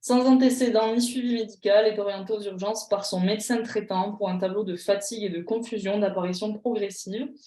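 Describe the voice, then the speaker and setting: Her voice is fairly high for a woman, with a dark, mellow tone and ordinary pitch variation. She speaks at a fairly slow pace. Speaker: pharmacy exam tutor. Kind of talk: online tutorial. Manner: animated.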